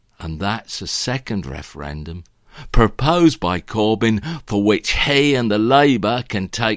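A man's fairly low, fairly slow voice with very wide pitch swings, in a very clean recording with a silent background. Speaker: political commentator. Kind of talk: angry political rant, improvised talk. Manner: indignant, sarcastic, ranting.

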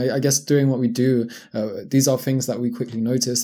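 Speaking in a London accent, a man has a medium pitch and a dark, mellow tone. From London, England. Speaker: online fitness coach. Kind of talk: casual interview chat. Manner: halting, many fillers.

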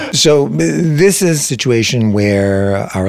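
There is noticeable background noise as a man with a Canadian accent speaks with ordinary pitch variation. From Ontario, Canada (Saugeen Peninsula First Nation). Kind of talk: interview. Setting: in person, same room.

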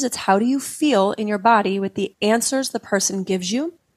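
A woman's plain, everyday voice with an American accent, medium pitch, ordinary pitch variation and a moderate pace, in a very clean recording with a silent background and a dry, close sound with no echo. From Utah. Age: 40s. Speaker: psychedelic integration coach. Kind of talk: interview conversation.

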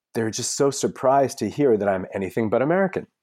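A man's dark, mellow voice with very wide pitch swings, dry and close with no echo, on a very clean recording with a silent background. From Belarus. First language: Russian. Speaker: author. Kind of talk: interview.

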